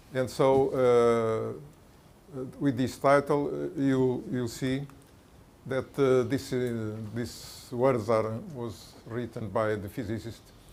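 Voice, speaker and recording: At a very slow pace, a man talks with a medium pitch and ordinary pitch variation amid audible room echo. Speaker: mathematician, conference speaker. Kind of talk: lecture. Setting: conference talk with audience. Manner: halting, many fillers.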